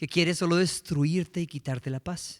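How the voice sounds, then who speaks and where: A man with a Colombian accent and a high pitch, ordinary pitch variation, on a very clean recording with a silent background. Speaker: preacher. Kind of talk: sermon.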